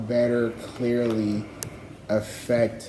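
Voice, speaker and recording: With noticeable background noise and audible room echo, a man of medium pitch talks very slowly. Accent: non-native. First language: not English. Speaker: livestreamer. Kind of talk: casual rambling monologue. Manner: halting, many fillers.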